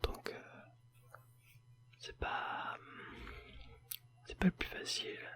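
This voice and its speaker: A man is whispering. Noticeable background noise runs underneath. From Paris, France. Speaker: ASMR video creator. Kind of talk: casual talk to camera. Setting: home recording with a sensitive microphone.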